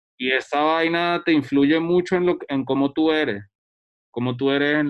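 This man has a plain, everyday voice with ordinary pitch variation. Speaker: photographer and researcher. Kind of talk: casual chat.

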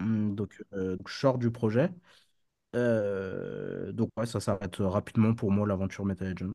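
A man's fairly low, dark, mellow voice at a very slow pace with fairly even intonation, dry and close with no echo, in a very clean recording with a silent background. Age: 30s. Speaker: crypto trader and entrepreneur. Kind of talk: casual interview. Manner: hesitant, many fillers.

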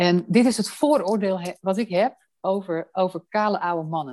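A woman talks at a fairly slow pace, the sound dry and close with no echo. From Amsterdam, Netherlands. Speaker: housing association director. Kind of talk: interview. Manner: hesitant with fillers.

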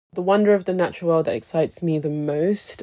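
A dark, mellow tone in a London accent. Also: woman. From London, England. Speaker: cultural strategist and creative director. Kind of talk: interview.

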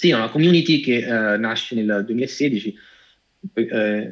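With an ordinary speaking voice, a man speaks at a fairly slow pace and a fairly low pitch. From Italy, Cassino (Lazio). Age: 30s. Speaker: AI director and data scientist. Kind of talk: interview.

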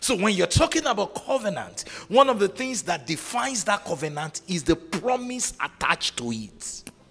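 With an animated tone and a high pitch, a man speaks at a moderate pace with hardly any pauses. His pitch swings very widely over noticeable background noise. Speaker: preacher. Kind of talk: sermon to live conference audience, call-and-response. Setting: stage with audience. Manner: animated, commanding, rousing; shouts prayers and declarations, urges crowd to shout back.

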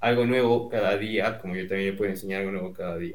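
Audible room echo hangs around the voice. Its intonation is fairly even. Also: man. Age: 20s. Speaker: university student. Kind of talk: casual chat. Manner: halting.

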